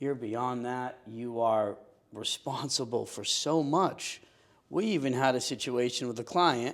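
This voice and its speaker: The speaker is a man with a medium pitch. His recording is very clean, the background silent. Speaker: real estate agent and podcast host. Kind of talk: casual interview conversation. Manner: loud, assertive.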